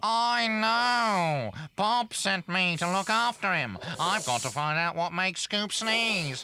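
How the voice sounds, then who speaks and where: A cartoonish character voice speaks at a middle pitch. Clear background noise can be heard. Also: fairly slow pace. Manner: cheeky, refers to himself in the third person.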